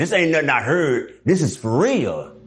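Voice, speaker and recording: A man with an American accent talks at a moderate pace, and the room echo is audible. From Dallas, Texas. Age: 60s. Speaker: former prisoner. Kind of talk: interview. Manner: casual.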